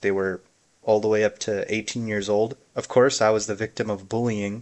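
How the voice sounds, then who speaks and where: A man speaks with an American accent. His pitch is medium and his pace moderate. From US Midwest, Chicago area. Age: 20s. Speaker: content creator. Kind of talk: personal vlog monologue.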